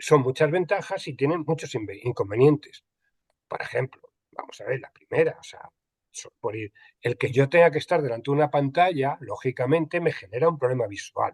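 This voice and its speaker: Somewhat breathy and fairly high in pitch, a man talks at a moderate pace with ordinary pitch variation and big swings in loudness, in a dry, close sound with no echo. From Spain, Andalusia. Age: 60s. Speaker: archival and records management expert. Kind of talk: panel conversation. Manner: hesitant, many repetitions and fillers.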